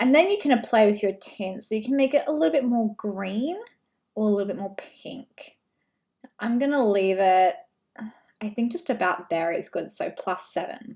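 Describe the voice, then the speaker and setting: A woman with an Australian accent and a fairly high, somewhat breathy voice speaks at a moderate pace with lively intonation on a very clean recording with a silent background. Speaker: brand photographer. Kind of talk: tutorial. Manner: casual, conversational.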